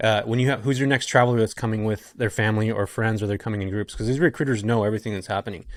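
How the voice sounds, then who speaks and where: In a very clean recording with a silent background, a man talks very fast at a medium pitch with fairly even intonation. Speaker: real estate investor. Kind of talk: podcast interview.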